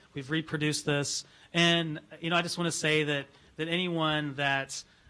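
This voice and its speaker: This man talks at a fairly quick pace with a fairly high pitch, a bright, sharp tone and monotone, flat intonation. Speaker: library director. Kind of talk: board meeting. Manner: fast; halting.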